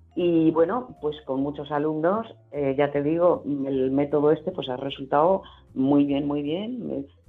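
With music in the background, the voice moves at a fairly slow pace and shows ordinary pitch variation. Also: woman, very deep, low pitch for a woman. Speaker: voice actress and dubbing teacher. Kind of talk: interview. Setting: remote connection.

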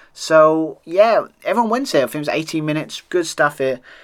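A man with a British accent is heard on a very clean recording with a silent background. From United Kingdom. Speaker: wrestling podcast host. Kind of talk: solo review monologue. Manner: halting, filler-heavy.

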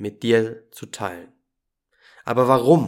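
The delivery is very slow, and the intonation is fairly even. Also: man. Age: 20s. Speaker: podcast host and holistic coach. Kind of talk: scripted podcast intro monologue.

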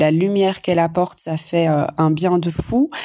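Over noticeable background noise, a woman with a fairly low pitch speaks at a fairly slow pace in a monotone, flat intonation. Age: 40s. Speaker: psychologist. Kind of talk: voice message.

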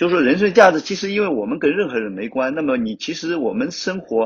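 Vocal fry runs through this man's very fast speech. His pitch rises and falls very widely. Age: 50s. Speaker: rock climber, fashion blogger and climbing gym owner. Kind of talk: casual interview chat.

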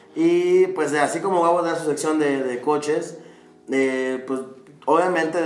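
Noticeable background noise and audible room echo surround the speech of a man. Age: 20s. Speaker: psychologist and MMA fighter, podcast co-host. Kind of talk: casual chat.

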